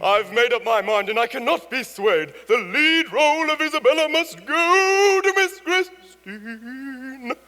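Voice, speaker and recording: A man uses a put-on character voice at an extremely high pitch, raised and projected. He goes at a fairly slow pace with hardly any pauses. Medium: stage play. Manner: theatrical, emphatic.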